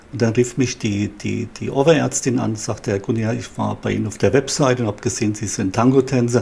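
A man's medium-pitched voice with vocal fry, fairly even intonation and a fairly quick pace. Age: 60s. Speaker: psychologist. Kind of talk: interview. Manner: halting, with repeated words.

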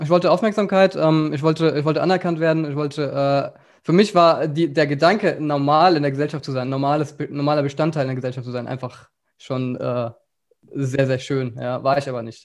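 A man's plain, everyday voice, fairly high in pitch with ordinary pitch variation, at a fairly quick pace against a quiet background. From Germany, rural Upper Hesse. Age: 20s. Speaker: agency founder and entrepreneur. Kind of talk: casual interview.

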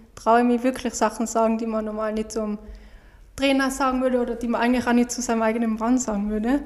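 Her speech rushes along very fast. The woman's intonation stays monotone and flat. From Austria. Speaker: professional speed skater. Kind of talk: casual interview.

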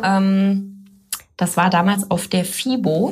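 Somewhat breathy, a woman at a medium pitch speaks with audible room echo. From Germany, Baden near Karlsruhe, then Middle Rhine (Boppard). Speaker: fitness trainer and physiotherapist. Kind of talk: podcast interview. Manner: many filler sounds.

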